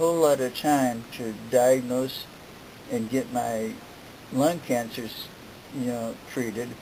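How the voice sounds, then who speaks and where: A man speaks at a very slow pace in a medium pitch, his intonation fairly even. Noticeable background noise runs under the recording. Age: 70s. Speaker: cancer patient. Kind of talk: interview answer. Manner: halting, hesitant.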